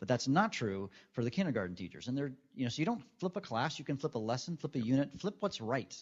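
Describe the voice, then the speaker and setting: A man talks very fast at a medium pitch. His pitch swings very widely. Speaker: educator, former high school chemistry teacher. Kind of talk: conference presentation.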